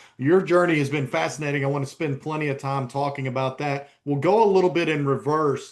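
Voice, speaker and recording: A fairly high-pitched man's voice with a slight East Tennessee accent, at a fairly quick pace. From US South, East Tennessee. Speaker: sports journalist and podcast host. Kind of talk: podcast interview.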